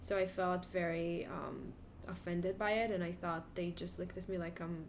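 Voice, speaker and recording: At a moderate pace, a woman talks in a monotone, flat way with a fairly low pitch, and room echo is audible. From Israel. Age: 20s. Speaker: graduate student. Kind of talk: interview.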